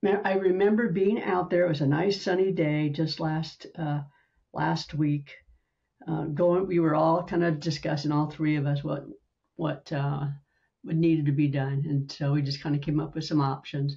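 Over a quiet background, a woman with a very deep, low, somewhat breathy voice speaks at a moderate pace with fairly even intonation. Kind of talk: personal story told in a facilitated session. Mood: reflective, a little unsettled. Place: home room. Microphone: video call.

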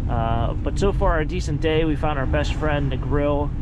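A man's voice comes through loud background noise, with a dry sound and no echo. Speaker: trash picker vlogger. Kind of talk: casual vlog chat. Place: car. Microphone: phone near.

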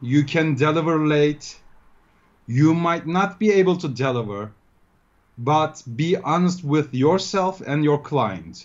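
Speech in a Turkish accent at a fairly slow pace, with long, frequent pauses and ordinary pitch variation, over a quiet background. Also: man. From Turkey, Ankara. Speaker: freelance web developer. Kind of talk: interview. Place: home room. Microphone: video call.

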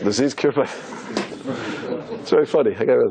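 A man talks at a fairly slow pace. Background noise is noticeable. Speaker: rabbi. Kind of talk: religious lecture to a live audience.

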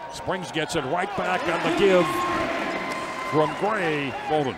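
Loud background noise fills a dry recording that carries no echo. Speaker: basketball play-by-play announcer. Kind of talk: live sports commentary, play-by-play of a basketball game. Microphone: headset.

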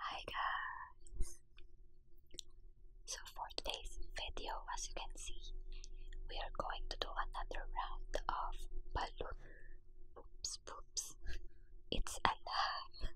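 A woman talks at a very slow pace in an extremely high pitch with ordinary pitch variation and long, frequent pauses. The sound is dry with no echo, with light background noise. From Philippines. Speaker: ASMR mukbang creator. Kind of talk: casual talk to camera.

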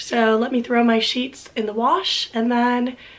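A woman speaks at a high pitch with an American accent. Noticeable background noise can be heard. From Florida, Miami. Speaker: PhD student vlogger. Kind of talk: casual vlog talk.

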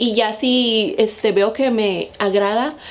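Slowly, a woman speaks in a fairly high voice with ordinary pitch variation.

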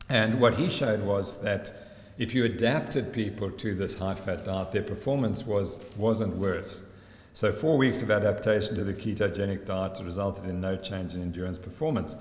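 Against audible room echo, a man talks at a moderate pace with a fairly low pitch and ordinary pitch variation. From South Africa. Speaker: sports scientist. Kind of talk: conference presentation. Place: hall. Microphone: podium.

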